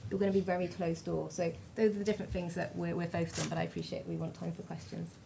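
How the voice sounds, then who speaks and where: A woman with a British accent at a very fast pace, with audible room echo. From Britain. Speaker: digital identity panelist. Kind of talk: panel discussion. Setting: conference stage with audience.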